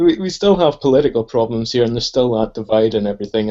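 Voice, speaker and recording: A man speaks with a Northern Irish accent. His tone is dark and mellow. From Northern Ireland. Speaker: podcast guest. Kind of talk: casual political discussion.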